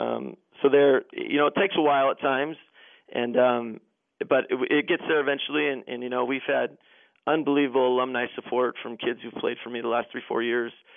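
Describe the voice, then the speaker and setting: A man with a medium-pitched voice talks at a fairly quick clip. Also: ordinary pitch variation. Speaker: high school basketball coach. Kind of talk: interview. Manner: loud and energetic.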